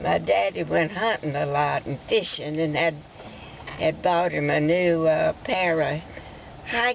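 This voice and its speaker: Speaking at a fairly slow pace with an Alabama accent, a woman is heard against noticeable background noise. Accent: Southern US (Alabama). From US South, Alabama. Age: 90s. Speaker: elderly family storyteller. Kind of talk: oral history storytelling. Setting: outdoors at a cemetery, family visit. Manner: halting, with stammers and fillers.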